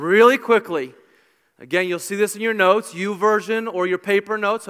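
Someone does plain reading aloud with fairly even intonation against a quiet background.

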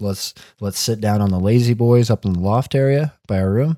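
On a very clean recording with a silent background, a plain, everyday voice moves at a moderate pace with lively intonation. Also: man. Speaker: podcast host. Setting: basement home recording. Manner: casual, loud, swears often.

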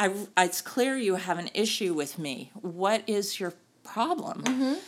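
An ordinary speaking voice from a woman at medium pitch, fairly slow in pace, with lively intonation. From US South, North Carolina. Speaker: sports tech executive and board member. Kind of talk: interview.

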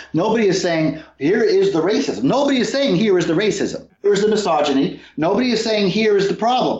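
At a fairly quick pace with hardly any pauses, a man talks in a high pitch with lively intonation. His loudness stays very even over noticeable background noise. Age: 50s. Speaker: atheist activist, former organization president. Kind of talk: interview.

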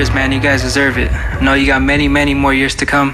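A man talks fairly fast while noticeable noise carries on in the background. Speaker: radio host. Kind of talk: radio DJ patter, live show intro. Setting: live with audience.

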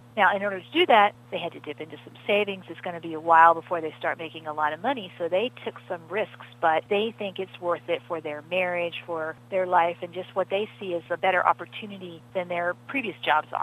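An ordinary speaking voice moves at a fairly quick pace with hardly any pauses, ordinary pitch variation and big swings in loudness. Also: woman, fairly low pitch for a woman. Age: 50s. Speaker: financial journalist. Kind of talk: interview.

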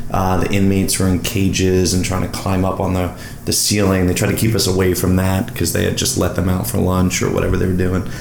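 Speaking at a very fast pace with very even loudness, a man with an American accent and a very deep, low pitch is heard amid audible room echo and noticeable background noise. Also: fairly even intonation. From US Northeast, Long Island. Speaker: advertising strategist. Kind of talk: casual chat. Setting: at home.

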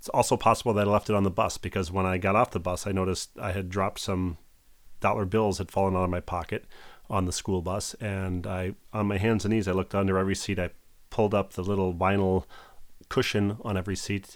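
In a very clean recording with a silent background, a man with an American accent talks very fast at a fairly low pitch, his intonation monotone and flat. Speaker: podcast co-host. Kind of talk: casual chat.

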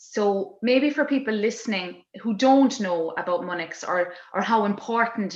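With an Irish accent, a woman speaks using ordinary pitch variation. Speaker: podcast host, theatre director and performer. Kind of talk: casual interview chat. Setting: video call.

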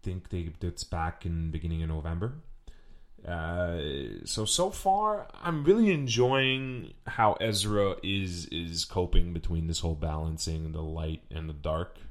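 At a fairly slow pace, a man speaks with a very deep, low pitch and ordinary pitch variation. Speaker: podcast host. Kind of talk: casual solo podcast monologue with swearing. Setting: home recording, audio only, no camera. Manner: casual, chatty, self-aware.

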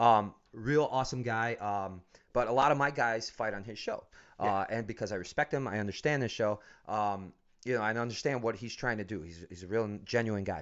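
With an American accent, a man talks at a fairly quick pace in an unremarkable speaking voice, with a medium pitch and ordinary pitch variation. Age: 40s. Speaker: MMA gym owner and coach. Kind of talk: casual interview.

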